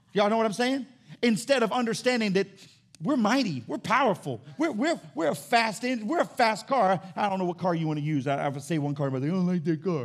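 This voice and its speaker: The pitch swings very widely and the tone is animated. The pace is fairly quick. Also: man, high pitch for a man. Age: 40s. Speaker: pastor. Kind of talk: Sunday sermon, folksy call-and-response preaching with car-mechanic illustration. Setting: church with live congregation. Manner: fast, animated and conversational, punctuated with amen calls to congregation; repeats and restarts words while building momentum.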